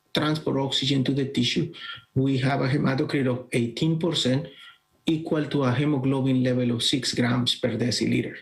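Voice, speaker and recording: Here a man speaks with a Colombian accent. His fairly high voice keeps fairly even intonation. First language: Spanish. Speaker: bioengineering professor. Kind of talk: conference presentation. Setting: virtual congress, recorded talk. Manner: halting, with fillers.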